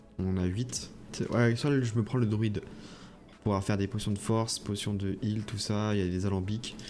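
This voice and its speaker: The speaker keeps a moderate pace with fairly even intonation. Music plays in the background. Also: man, long, frequent pauses. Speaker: gaming youtuber. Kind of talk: gameplay commentary. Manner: hesitant with many fillers.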